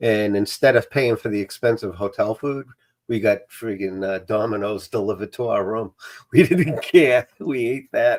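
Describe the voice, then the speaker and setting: In a Boston accent, a man speaks at a medium pitch and a moderate pace with ordinary pitch variation. The recording is very clean, with a silent background. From Massachusetts South Shore, near Brockton. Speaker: streamer. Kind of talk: casual chat.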